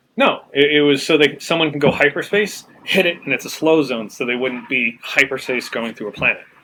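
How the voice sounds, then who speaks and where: Over noticeable background noise, a man with a fairly high pitch and ordinary pitch variation speaks at a fairly quick pace with hardly any pauses. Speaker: tabletop game master. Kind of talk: casual chat. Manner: raised pitch to be heard. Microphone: some listeners say he is too quiet.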